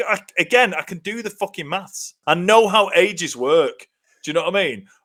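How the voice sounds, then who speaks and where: A man in a British accent speaks with high pitch at a moderate pace. His pitch varies ordinarily while his loudness swings widely. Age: 40s. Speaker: comedy podcast co-host. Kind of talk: casual chat. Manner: animated.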